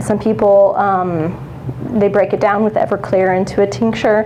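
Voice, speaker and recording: A woman's medium-pitched voice with lively intonation, audible room echo and noticeable background noise. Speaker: professional beekeeper. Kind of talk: lecture. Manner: loud.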